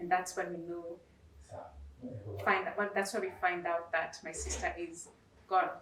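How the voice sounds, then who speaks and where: A woman speaks fairly slowly in a fairly low, flat monotone, leaving long, frequent pauses. Noticeable background noise and audible room echo are present. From Kenya. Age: 30s. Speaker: nurse and singer. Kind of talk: testimony.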